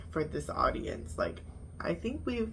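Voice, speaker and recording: A woman speaks at a moderate pace. There is audible echo in the room. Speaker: YouTuber reviewing reality TV. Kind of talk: casual vlog review. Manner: animated.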